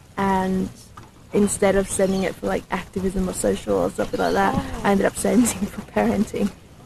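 Medium-pitched female voice at a moderate pace, with noticeable background noise. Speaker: documentary filmmaker. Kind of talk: casual vlog talk to camera.

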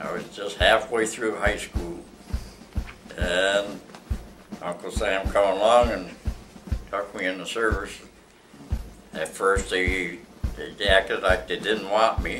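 A man with an American accent at a very slow pace, long, frequent pauses, and music in the background. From Ohio, USA. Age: 80s+. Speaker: World War II veteran. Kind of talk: oral history interview answer.

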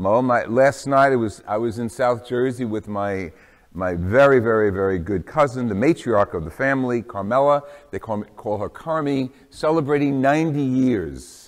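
A quiet background behind a man's moderately paced talk with ordinary pitch variation. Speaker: priest. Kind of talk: homily introduction. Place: church.

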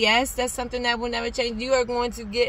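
A high-pitched woman's voice with a dry sound and no echo. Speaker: faith vlogger. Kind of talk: casual vlog chat. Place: car. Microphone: phone near.

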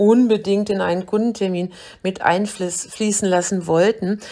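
A woman's monotone, flat delivery at a moderate pace, with medium pitch and a dark, mellow tone. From Germany, Braunschweig. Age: 50s. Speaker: personal trainer.

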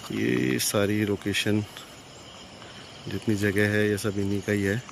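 At a slow pace, a man with a fairly low pitch and vocal fry speaks with little pitch movement over faint background noise.

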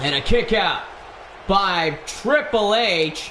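A man with a high pitch speaks in a raised, projected voice. Light background noise and audible room echo are present. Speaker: gaming and wrestling channel commentator. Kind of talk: wrestling match commentary, play-by-play over highlights. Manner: gushing hype with breathless pauses. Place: home room. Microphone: headset.

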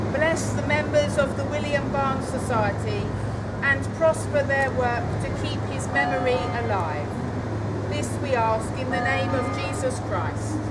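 Loud background noise runs under a woman with a very deep, low pitch. She speaks fairly slowly with fairly even intonation. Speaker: clergy leading prayer. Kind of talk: church prayer. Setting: church. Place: street. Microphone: camera far.

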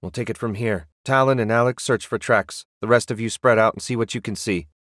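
A man growls through a put-on character voice at a medium pitch, keeping a fairly quick pace and fairly even intonation in a dry, close recording with no echo. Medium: cartoon. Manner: brisk, commanding.

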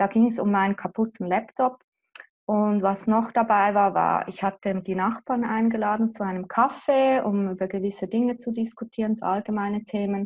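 Over a quiet background, a woman speaks at a moderate pace with monotone, flat intonation. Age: 40s. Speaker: mother affected by child removal. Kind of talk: interview. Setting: video call. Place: home room. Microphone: video call.

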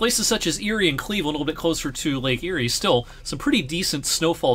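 Bright and sharp in tone, a man with an American accent talks at a fairly quick pace, his pitch swinging very widely. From US Midwest, southwest Ohio. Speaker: meteorologist. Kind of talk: weather forecast video. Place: home room.

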